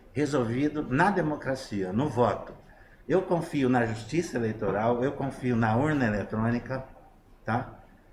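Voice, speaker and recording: A man talks at a fairly slow pace in a somewhat breathy voice. The room echo is audible. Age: 60s. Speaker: interviewee on online talk show. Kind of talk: political opinion in online talk show. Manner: halting with many fillers.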